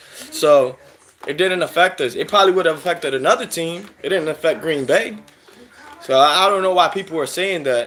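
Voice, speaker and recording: At a fairly quick pace, a man with a high pitch and an American accent speaks with ordinary pitch variation over noticeable background noise. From Philadelphia, US. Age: 30s. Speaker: sports fan streamer. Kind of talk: live stream commentary chatting with viewers. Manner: animated.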